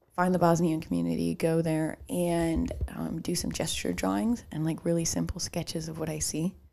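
Speaking at a moderate pace, a woman talks in a Chicago accent. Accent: Midwestern US, Chicago-tinged. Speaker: podcast co-host. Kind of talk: casual chat.

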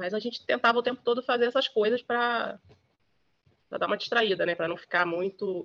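A woman's ordinary speaking voice, fairly high in pitch, with ordinary pitch variation, a fairly quick pace, and a dry, close sound with no echo. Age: 50s. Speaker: journalist. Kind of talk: interview testimony.

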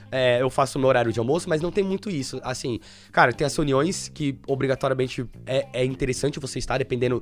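A man at a fairly quick pace, medium-pitched with ordinary pitch variation, music in the background. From Brazil, São Paulo state (Suzano). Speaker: web programmer. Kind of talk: casual interview chat.

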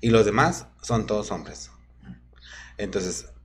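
Audible room echo surrounds a man speaking at a fairly slow pace with a fairly low pitch. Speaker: drag queen. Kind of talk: casual chat.

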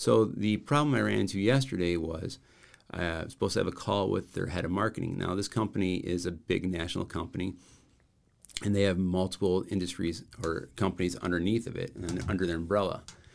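A man with an American accent, very deep and low in pitch, at a fairly quick pace, with ordinary pitch variation and vocal fry. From Rockford, Illinois, US Midwest. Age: 40s. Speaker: branding and marketing consultant. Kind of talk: casual interview.

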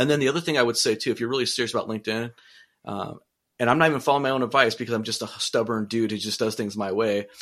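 In an American accent, a man with a medium pitch talks very fast with ordinary pitch variation, the background quiet. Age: 40s. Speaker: city manager and podcaster. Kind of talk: casual interview chat.

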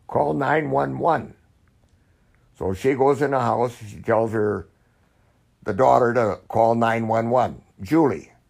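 The speech moves at a fairly slow pace with vocal fry throughout. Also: man. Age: 80s+. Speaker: grandfather, former missionary. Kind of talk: casual interview, storytelling. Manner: halting, with many fillers.

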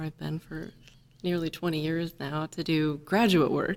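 A woman in an ordinary speaking voice, with an American accent, a fairly low pitch and a fairly slow pace. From Indiana, US Midwest. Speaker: engineer, chief scientist. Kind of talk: interview.

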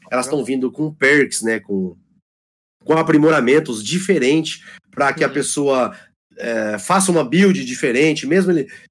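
A man talks in a normal speaking voice with a fairly high pitch. His intonation is lively and his pace moderate. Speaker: gamer and community guest. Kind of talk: casual chat. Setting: online call.

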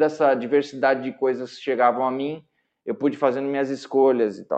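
At a moderate pace, a man speaks in a plain, everyday voice with a medium pitch. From São Paulo, Brazil. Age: 40s. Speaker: jazz guitarist. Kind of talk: casual interview.

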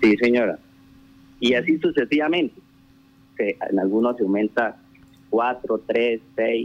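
Very slow speech from a man at medium pitch, with ordinary pitch variation, very even loudness, and long, frequent pauses. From Colombia, rural Casanare (Trinidad). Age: 30s. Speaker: town councillor. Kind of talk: radio interview. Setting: phone call. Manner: halting.

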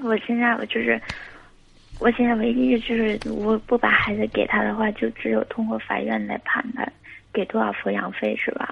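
The speaker is a woman talking at a moderate pace. Noticeable background noise runs behind her. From Guangxi, China. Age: 20s. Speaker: caller. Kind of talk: phone-in advice call. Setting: phone call. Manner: halting. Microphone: too quiet.

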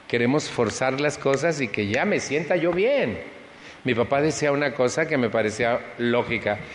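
Amid noticeable background noise, a man at medium pitch speaks fairly slowly with lively intonation and very even loudness. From Mexico City. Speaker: recovery support group speaker. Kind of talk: personal testimony talk to an audience.

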